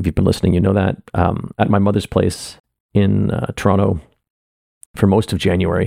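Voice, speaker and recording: Dark and mellow in tone, the voice moves at a fairly quick pace with fairly even intonation. Long pauses come often, and the sound is dry and close with no echo. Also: man, very deep, low pitch for a man. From Canada. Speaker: artist and theater maker podcasting personal updates. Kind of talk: personal monologue update. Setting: home office room. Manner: lowered pitch, close to mic. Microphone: echoey room, very close to mic.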